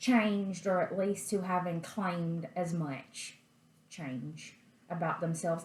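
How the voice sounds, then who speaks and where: A woman with a medium pitch speaks over noticeable background noise, with audible room echo. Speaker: tarot reader. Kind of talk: tarot reading. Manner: slow.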